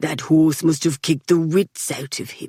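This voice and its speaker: Pitched in the middle, a put-on character voice moves at a moderate pace. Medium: read story. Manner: menacing, sardonic.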